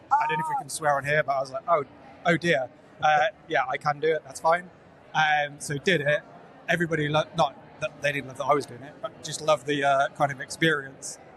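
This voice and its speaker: This man has a fairly high pitch and a flat, monotone delivery at a fairly quick pace. His loudness swings widely over noticeable background noise. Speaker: security awareness professional. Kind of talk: casual interview chat. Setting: live at a conference. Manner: hesitant, many fillers.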